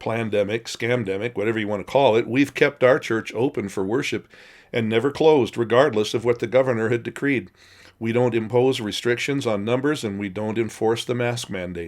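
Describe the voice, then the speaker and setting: Speaking at a fairly quick pace, a man keeps a medium pitch and fairly even intonation. The recording is very clean, with a silent background. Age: 60s. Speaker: pastor. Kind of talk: recorded devotional talk.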